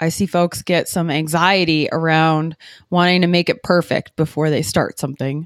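A woman with an Upper Midwest accent at a fairly slow pace and fairly even intonation, in a dry, close sound with no echo on a very clean recording with a silent background. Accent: Upper Midwest American. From Wisconsin, Green Bay. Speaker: trail runner and podcaster. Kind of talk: casual interview. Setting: coffee shop.

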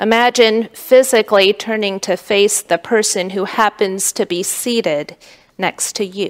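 With a normal speaking voice, a woman talks at a fairly slow pace and medium pitch with fairly even intonation, in a dry, close sound with no echo. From United States, Korean immigrant family. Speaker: pastor. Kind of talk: sermon.

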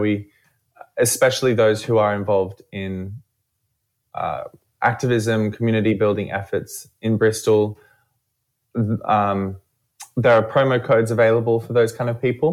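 A man with an Australian accent at a moderate pace, with fairly even intonation and long, frequent pauses, in a very clean recording against a silent background. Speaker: event organiser. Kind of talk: radio interview. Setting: studio.

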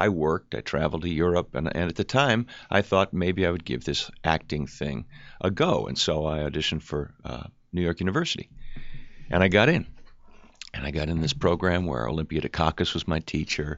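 At a fairly quick pace, a man speaks with a very deep, low voice marked by vocal fry. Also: ordinary pitch variation. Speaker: actor. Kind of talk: casual chat.

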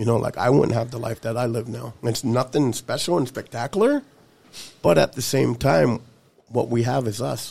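His tone is dark and mellow. This man's voice carries vocal fry. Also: medium pitch for a man, ordinary pitch variation, moderate pace. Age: 30s. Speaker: person in recovery. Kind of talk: casual chat.

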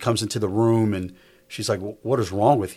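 Fairly low male voice, an unremarkable speaking voice with fairly even intonation, on a very clean recording with a silent background. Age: 50s. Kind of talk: casual chat.

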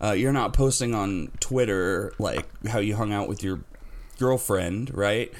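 This man has an unremarkable speaking voice, fairly low in pitch, with ordinary pitch variation and a fairly slow pace. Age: 30s. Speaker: wrestling podcast host. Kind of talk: casual chat.

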